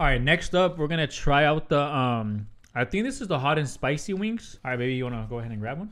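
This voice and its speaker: Against a quiet background, a man talks at a very fast pace with a fairly high pitch. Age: 30s. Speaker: YouTuber doing a food vlog; podcast host. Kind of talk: casual chat; casual mukbang podcast chat. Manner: casual with many fillers. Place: home room. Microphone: studio mic.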